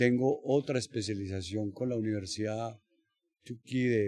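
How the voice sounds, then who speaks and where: A man's dark, mellow, somewhat breathy voice, fairly low in pitch, with ordinary pitch variation and a fairly slow pace. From Colombia, Bogotá. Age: 70s. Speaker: judo coach. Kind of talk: interview. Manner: halting, many fillers.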